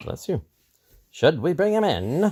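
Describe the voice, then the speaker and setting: A man puts on a character voice pitched high. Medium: read story. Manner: playful, joking.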